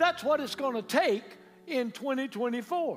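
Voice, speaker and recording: Over noticeable background noise, a man with a Southern US accent speaks in an animated tone at a moderate pace with lively intonation. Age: 70s. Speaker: pastor. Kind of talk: sermon. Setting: church with live congregation. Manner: animated, call-and-response preaching.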